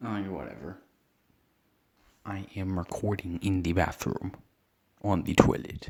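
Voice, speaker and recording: Quiet and fairly slow, a man speaks with vocal fry in a very deep, low pitch with ordinary pitch variation. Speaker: gaming youtuber. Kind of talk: casual chat.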